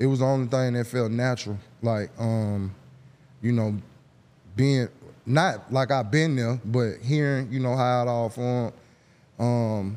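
A man speaks at a fairly slow pace in an Atlanta accent. His intonation is fairly even, and he takes long, frequent pauses. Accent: Southern US (Atlanta). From Atlanta, Georgia (US South). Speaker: rapper and songwriter; guest. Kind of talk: casual interview chat. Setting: studio. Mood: relaxed, reflective. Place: studio. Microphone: studio mic.

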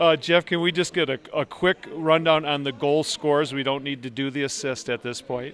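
A fairly bright tone with fairly even intonation. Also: man, fairly high pitch for a man, moderate pace.

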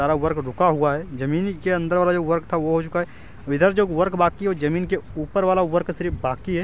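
Over light background noise, a man talks at a high pitch with hardly any pauses and fairly even intonation, the sound dry with no echo. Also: moderate pace. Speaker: vlogger. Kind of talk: casual vlog commentary. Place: open country. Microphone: phone near.

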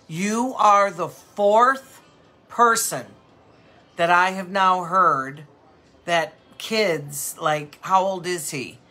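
Faint music plays in the background as a woman talks at a very slow pace with long, frequent pauses. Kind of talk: casual live-stream sales chat. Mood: warm, sympathetic. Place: shop.

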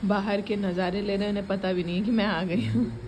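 A woman speaks while noticeable background noise carries on behind her. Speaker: vlogger. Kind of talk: casual vlog chat.

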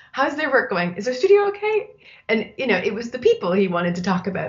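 A woman with a Canadian accent speaks in a somewhat breathy voice. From Canada. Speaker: design writer and editor; interview guest. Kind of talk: interview. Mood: thoughtful, friendly. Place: home room. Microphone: webcam.

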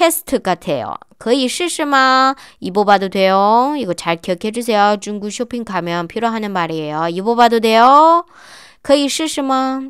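A woman's fairly slow speech with very wide pitch swings, dry and echo-free against a quiet background. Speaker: Chinese language teacher. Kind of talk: tutorial. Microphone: webcam.

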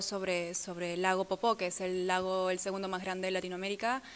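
A woman's monotone, flat delivery over light background noise. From Peru. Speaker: model and actress; actress. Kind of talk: interview. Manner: halting. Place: hall.

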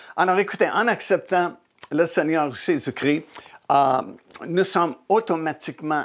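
A man with ordinary pitch variation, against a quiet background. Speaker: religious teacher, show host. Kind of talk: sermon-style teaching. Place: studio. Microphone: lapel.

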